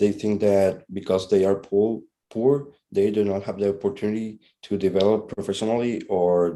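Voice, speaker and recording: In a Spanish accent, a man speaks at a moderate pace with a fairly low pitch, a dark, mellow tone and monotone, flat intonation, recorded very cleanly against a silent background. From Honduras. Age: 20s. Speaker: interviewee. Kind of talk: class assignment interview. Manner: halting.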